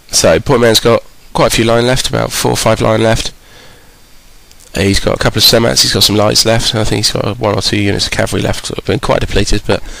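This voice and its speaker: A man rattles off words at a very fast pace while noticeable background noise goes on. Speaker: game commentator. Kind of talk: game commentary.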